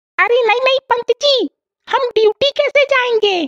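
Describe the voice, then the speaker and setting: Using a squeaky cartoonish character voice at an extremely high pitch, a woman goes at a fairly slow pace with ordinary pitch variation. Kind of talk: comic overacting. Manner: aggrieved, quarrelsome.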